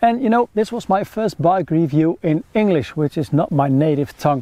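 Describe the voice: A man talks at a moderate pace with a fairly high pitch. His tone is dark and mellow. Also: ordinary pitch variation.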